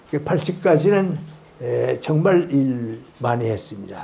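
This man talks at a very slow pace, his voice fairly high in pitch with a dark, mellow tone. His pitch variation is ordinary. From North Korea (South Pyongan). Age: 80s+. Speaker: philosopher and professor emeritus. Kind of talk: public lecture. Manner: slow, hesitant. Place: classroom. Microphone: handheld.

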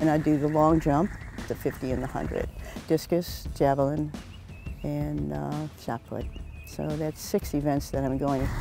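Over clear background music, a woman speaks at a moderate pace with long, frequent pauses, the sound dry with no echo. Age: 80s+. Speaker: senior track and field athlete. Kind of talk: interview answer. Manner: hesitant, with frequent fillers. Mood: reflective, moved when speaking of husband. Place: stadium. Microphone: lapel.

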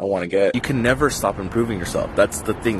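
A man's very fast speech has a dry sound with no echo, with noticeable background noise behind it. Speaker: vlogger. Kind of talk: casual vlog chat. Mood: candid, mildly frustrated. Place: street. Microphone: phone near.

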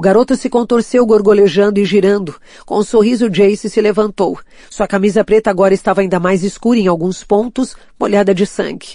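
A woman speaks at a fairly quick pace in a dark, mellow tone. Her intonation stays fairly even. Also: medium pitch for a woman. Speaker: audiobook narrator. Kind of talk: audiobook reading of a fantasy novel, dramatic narration.

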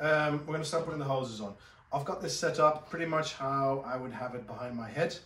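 A man's fairly quick speech with audible room echo and light background noise. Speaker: dive gear instructor. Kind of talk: tutorial. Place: shop.

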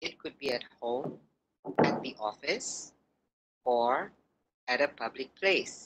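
Over loud background noise, the speech moves at a very slow pace with long, frequent pauses. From Indonesia. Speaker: trainer of teachers. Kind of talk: online training webinar. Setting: video call. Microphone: video call.

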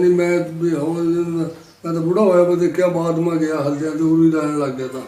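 The man's pitch is high and his intonation monotone and flat. Audible room echo and noticeable background noise fill the recording. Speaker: partition witness. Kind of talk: oral history interview.

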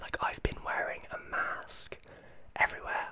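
A man whispering at a moderate pace. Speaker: vlogger. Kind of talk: casual vlog chat. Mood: thoughtful, slightly concerned. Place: home room. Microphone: studio mic.

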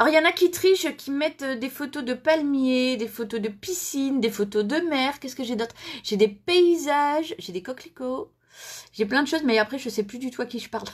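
Against a quiet background, a woman talks at a moderate pace, her high voice full of lively intonation. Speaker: crafting demonstrator hosting a live stream. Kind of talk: casual live-stream chat. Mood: cheerful, laughing. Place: home room. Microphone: phone near.

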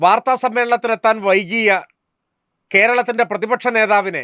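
Raised and projected, a man's high voice carries a bright, sharp tone and fairly even intonation, recorded very cleanly with a silent background and a dry, close sound with no echo. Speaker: political commentator. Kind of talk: scripted narration. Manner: formal.

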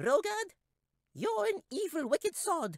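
An extremely high, squeaky put-on character voice with very wide pitch swings. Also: fairly slow pace. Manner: shouting.

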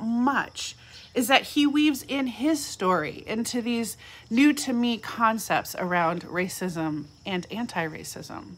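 Very slow and high-pitched, a woman speaks with very wide pitch swings. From California. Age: 40s. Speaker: pastor. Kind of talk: reflective devotional talk. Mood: warm, reflective. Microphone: phone near.

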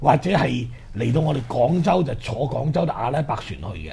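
With vocal fry in his dark, mellow tone, a man talks at medium pitch and a fairly quick pace, his intonation lively.

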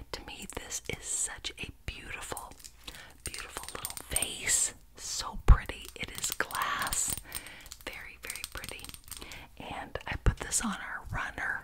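A woman's soft-spoken whisper at a fairly slow pace over noticeable background noise. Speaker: ASMR creator. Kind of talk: soft show-and-tell ASMR chat. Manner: soft close-mic whisper. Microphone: studio mic.

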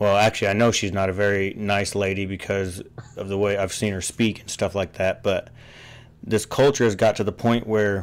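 A man talks in a plain, everyday voice with a fairly low pitch. His pace is moderate and his intonation fairly even. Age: 30s. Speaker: podcast host. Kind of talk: casual chat.

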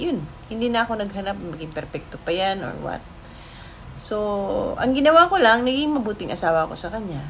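Amid noticeable background noise and audible room echo, a woman talks fairly quickly at a fairly high pitch, with very wide pitch swings and big swings in loudness. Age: 40s. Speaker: vlogger. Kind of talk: personal storytelling vlog. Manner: casual, chatty.

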